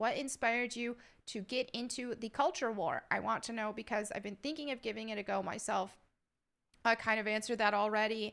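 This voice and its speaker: A woman's fairly high-pitched voice at a fairly quick pace. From upstate New York, Southern family. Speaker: YouTuber. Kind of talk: Q&A reading viewer questions. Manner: casual, with filler words.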